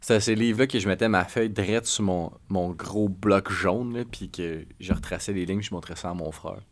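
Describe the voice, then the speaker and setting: Speaking with a Quebec accent, a man uses fairly even intonation and a fairly low pitch at a moderate pace. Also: hardly any pauses. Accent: Québécois French. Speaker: podcast co-host. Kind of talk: casual chat.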